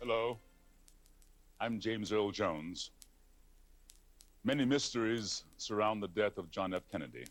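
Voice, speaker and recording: Over music in the background, a man speaks with long, frequent pauses and ordinary pitch variation. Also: fairly low pitch for a man, moderate pace. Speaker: documentary host. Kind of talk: television documentary host narration.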